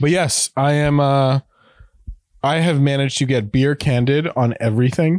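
A man with an unremarkable speaking voice talks at a moderate pace, his fairly high pitch held in fairly even intonation. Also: very even loudness. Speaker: head of content at an NFT platform. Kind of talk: casual chat.

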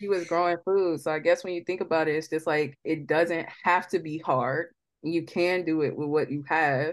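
Over a quiet background, a woman with a fairly low pitch talks at a moderate pace with hardly any pauses. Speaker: podcast host. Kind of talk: casual chat. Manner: animated, casual.

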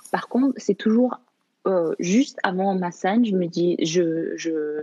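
The speaker is a woman. Her voice rises and falls with ordinary pitch variation. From Canada. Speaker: actress and filmmaker. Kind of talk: interview. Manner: halting, many repetitions.

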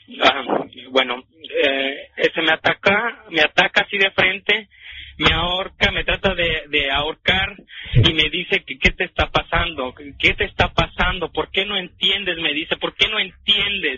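A man with a high pitch speaking at a fairly slow pace with ordinary pitch variation, with music in the background. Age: 20s. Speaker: caller. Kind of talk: testimony. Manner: halting.

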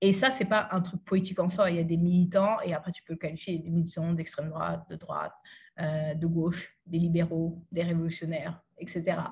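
A woman talks at a fairly quick pace, somewhat breathy. Her pitch is fairly low and her intonation fairly even. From France, Cergy (Île-de-France), Haitian-born. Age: 30s. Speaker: activist and author. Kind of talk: interview.

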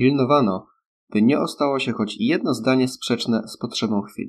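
An unremarkable speaking voice from a man, with ordinary pitch variation. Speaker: audiobook narrator. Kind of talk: literary audiobook reading, scripted narration of a novel. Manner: even, measured, formal narrator pace.

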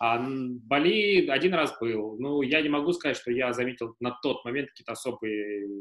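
Man with a plain, everyday voice at medium pitch and a moderate pace. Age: 30s. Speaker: lawyer, managing partner of a law firm. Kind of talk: casual interview. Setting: live stream.

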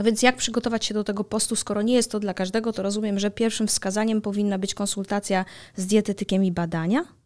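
Fairly even intonation carries the very fast speech in a very clean recording with a silent background. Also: woman, medium pitch for a woman. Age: 30s. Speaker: podcast host. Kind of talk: casual chat.

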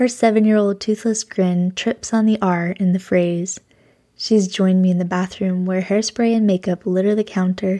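The recording is very clean, with a silent background. A woman speaks in a dark, mellow tone. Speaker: podcast host. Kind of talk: reading aloud.

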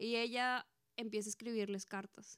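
Monotone and flat in intonation, a woman with a Mexican accent is heard in a dry, close sound with no echo. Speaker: podcast co-host. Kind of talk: casual chat.

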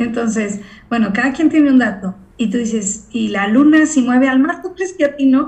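The speaker is a woman at a moderate speed. Her pitch is high. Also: lively intonation. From Mexico. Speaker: voice and acting coach. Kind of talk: casual interview.

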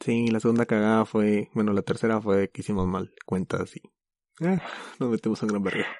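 A man with a fairly low voice talks at a moderate pace, his intonation fairly even. The sound is dry and close with no echo, over a quiet background. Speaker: podcast host. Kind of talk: casual chat.

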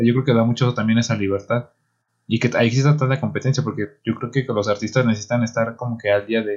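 Fairly even in intonation, a man talks at a very fast pace. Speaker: podcast co-host. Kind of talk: casual chat.

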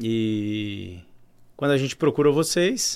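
A man's plain, everyday voice with lively intonation, on a very clean recording with a silent background. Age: 30s. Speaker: family business owner. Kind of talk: interview.

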